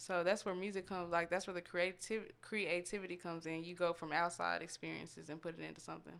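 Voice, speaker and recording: In an American accent, a woman with a fairly low pitch rushes along at a very fast pace in a flat monotone, with vocal fry and hardly any pauses. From Austin, Texas. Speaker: rapper. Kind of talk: casual interview chat.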